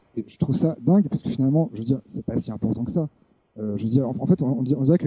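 A man's dark, mellow voice moves with lively intonation, and the sound is dry and close with no echo. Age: 30s. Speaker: video editor and essayist. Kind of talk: interview discussion. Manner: halting, many repetitions.

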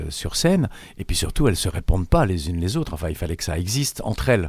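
A man's very deep, low voice with lively intonation at a fairly quick pace. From Switzerland, Italian family. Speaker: actor and playwright. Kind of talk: interview. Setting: studio.

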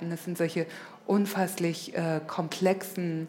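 In a room with audible echo, a woman speaks very slowly at a fairly low pitch, in a monotone, flat way. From northern Hesse, Germany (near Kassel). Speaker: guest speaker at an art school event. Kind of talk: public interview on stage. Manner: halting, many fillers.

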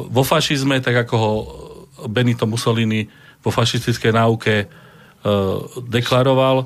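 This man talks at a moderate pace and medium pitch in a monotone, flat delivery, with long, frequent pauses and very even loudness. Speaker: historian and museum director. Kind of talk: radio discussion.

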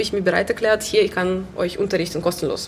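With noticeable noise in the background, a woman talks at a fairly quick clip. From Belarus, Minsk. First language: Russian or Belarusian (speaking German). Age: 20s. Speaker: musician and choir organiser. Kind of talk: casual interview. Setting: gallery venue.

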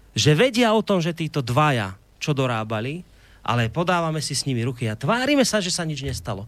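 At a fairly quick pace, a man with a fairly high pitch talks with very wide pitch swings. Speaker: radio host. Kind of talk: radio talk show interview. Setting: studio.

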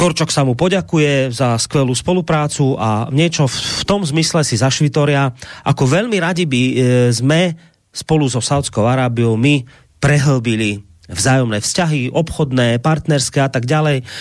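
A man with a plain, everyday voice, ordinary pitch variation and very even loudness. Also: fairly high pitch for a man, moderate pace. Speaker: radio host. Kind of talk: talk radio, reading listener mail.

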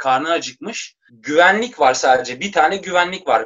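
Here a man speaks at a high pitch with lively intonation. His pace is fairly slow. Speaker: rapper. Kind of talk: casual chat.

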